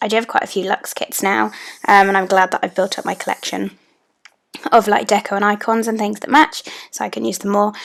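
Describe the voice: Using a put-on character voice that is raspy and husky, a woman speaks at medium pitch and a fairly quick pace.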